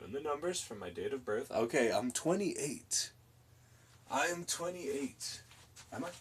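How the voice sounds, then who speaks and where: A man speaks at a fairly high pitch with vocal fry and very wide pitch swings. He leaves long, frequent pauses. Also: moderate pace. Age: 20s. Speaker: streamer and artist. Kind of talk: live stream chat while painting. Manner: casual, jokey.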